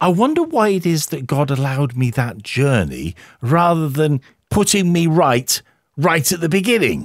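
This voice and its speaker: A man's plain, everyday voice, fairly high in pitch, with lively intonation at a moderate pace on a very clean recording with a silent background. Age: 50s. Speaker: radio host. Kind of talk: interview.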